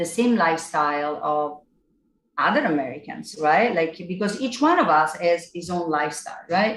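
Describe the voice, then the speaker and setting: A woman speaks in an Italian accent. Her pace is moderate. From Italy (Naples). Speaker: singer-songwriter. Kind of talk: casual chat.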